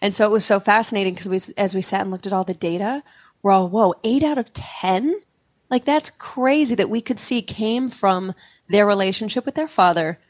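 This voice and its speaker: A woman with an American accent speaks at a moderate pace and a medium pitch, with ordinary pitch variation and an unremarkable speaking voice, in a very clean recording with a silent background and a dry, close sound with no echo. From Utah. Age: 40s. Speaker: psychedelic integration coach. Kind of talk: interview conversation.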